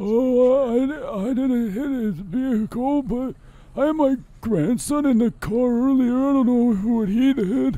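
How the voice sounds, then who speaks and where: A man uses a put-on character voice at an extremely high pitch. He speaks at a fairly slow pace. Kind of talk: comic overacting. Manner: cranky, confused, rambling.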